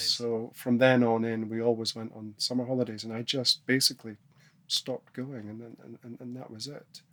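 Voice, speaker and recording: This soft-spoken man has a medium pitch and a monotone, flat intonation. His loudness swings widely. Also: moderate pace. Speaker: snowboarding pioneer, podcast guest. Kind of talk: podcast interview answer. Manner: soft-spoken, thoughtful.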